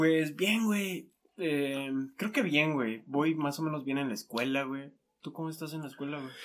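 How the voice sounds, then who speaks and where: An ordinary speaking voice, a man's, fairly high in pitch with ordinary pitch variation, moves at a fairly slow pace. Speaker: podcast host. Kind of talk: casual chat. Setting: in person, same room.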